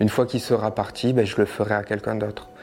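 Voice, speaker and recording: Over noticeable background noise, a man speaks fairly quickly at a medium pitch with fairly even intonation. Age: 20s. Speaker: abuse survivor sharing his story. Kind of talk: testimony.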